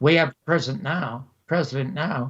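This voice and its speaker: Pitched fairly high for a man, this voice is somewhat breathy. He keeps a moderate pace and his pitch varies in an ordinary way. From Canada. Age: 80s+. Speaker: TV host and producer, former comedian. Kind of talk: interview.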